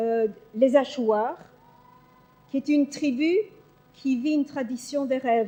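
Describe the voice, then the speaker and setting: A woman's high-pitched voice at a very slow pace, with ordinary pitch variation and long, frequent pauses. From Belgium. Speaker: psychologist. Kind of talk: conference talk. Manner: hesitant, many fillers.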